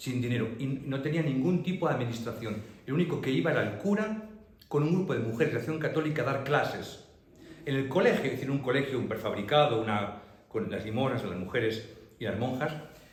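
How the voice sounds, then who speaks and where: Over noticeable background noise and audible room echo, a man with a medium pitch speaks at a fairly quick pace with lively intonation. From Madrid, Spain. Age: 60s. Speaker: priest giving a local history talk. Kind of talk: public talk Q&A with audience. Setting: public library talk with audience.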